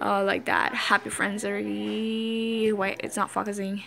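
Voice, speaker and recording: A bright, sharp tone over light background noise. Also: woman. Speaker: vlogger. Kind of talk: casual talk to camera. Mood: light, self-mocking. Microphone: phone near.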